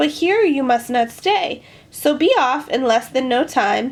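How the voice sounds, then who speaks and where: In a put-on character voice, a woman speaks at a fairly slow pace in a high pitch with lively intonation and very even loudness. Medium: read story.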